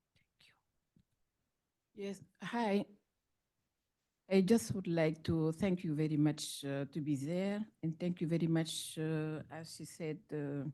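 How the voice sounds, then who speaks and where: Speaking very slowly with long, frequent pauses, a woman uses a very deep, low pitch and a dark, mellow tone, with ordinary pitch variation and big swings in loudness. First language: French. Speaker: audience member asking a question. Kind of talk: audience question at conference. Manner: halting.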